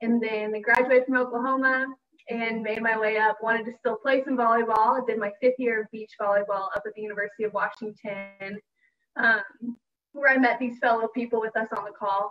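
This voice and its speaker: Speaking with an American accent, a woman with a fairly high pitch talks at a fairly quick pace in a monotone, flat intonation. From Texas, Dallas-Fort Worth. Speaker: former college athlete, panelist. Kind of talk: casual self-introduction. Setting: video call webinar.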